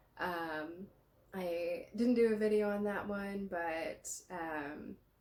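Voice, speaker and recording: Audible room echo surrounds a woman with a medium-pitched voice. She speaks at a very slow pace with ordinary pitch variation. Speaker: massage therapist. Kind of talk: guided movement tutorial. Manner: halting, many fillers; slow, reflective.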